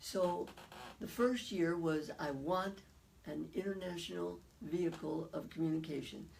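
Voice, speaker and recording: Audible room echo accompanies fairly slow speech whose pitch varies in an ordinary way. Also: woman, fairly low pitch for a woman. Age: 80s+. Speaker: psychologist and author. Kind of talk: interview.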